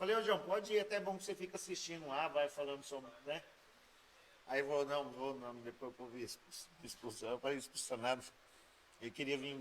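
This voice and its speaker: A man in a caipira accent, fairly high in pitch and lively in intonation, at a fairly quick pace with long, frequent pauses and big swings in loudness. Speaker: podcast host. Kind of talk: casual chat.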